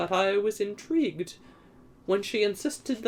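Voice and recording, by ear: Someone reads aloud in a natural voice, the intonation lively throughout.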